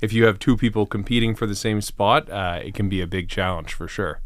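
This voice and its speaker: A man with an ordinary speaking voice at a fairly low pitch and a fairly quick pace, on a very clean recording with a silent background. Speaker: podcast host. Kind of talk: interview question.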